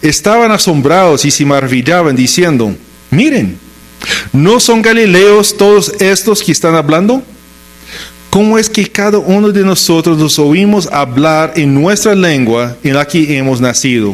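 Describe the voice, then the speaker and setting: A man speaks at a fairly slow pace in a high voice with lively intonation and very even loudness, over noticeable background noise. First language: English (speaking Spanish). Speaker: pastor. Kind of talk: sermon.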